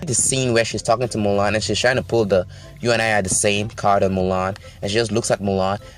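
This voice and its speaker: Over music in the background, a man talks at a very fast pace with an animated tone and medium pitch. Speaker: YouTube movie commentator. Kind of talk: movie review commentary.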